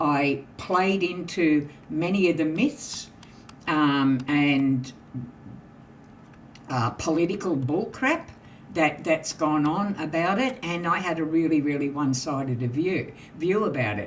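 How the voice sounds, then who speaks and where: A woman with an Australian accent, very deep and low in pitch, lively in intonation, at a very slow pace with long, frequent pauses and audible room echo. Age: 70s. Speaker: podcast panel host. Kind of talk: casual panel discussion.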